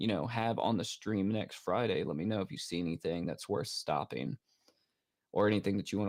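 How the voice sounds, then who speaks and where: The delivery comes at a fairly quick pace with ordinary pitch variation. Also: man. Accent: American. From United States. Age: 30s. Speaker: horror movie streamer. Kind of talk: casual livestream chat. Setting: livestream from home setup. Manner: casual, hesitant with many fillers.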